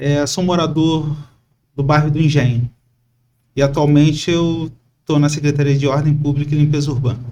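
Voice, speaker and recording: Long, frequent pauses break up a man's fairly high, dark, mellow voice as he speaks at a moderate pace with flat, monotone intonation. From Brazil, Itaguaí (Rio de Janeiro state). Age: 40s. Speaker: civil servant, candidate for city council. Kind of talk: podcast interview. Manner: hesitant, with fillers.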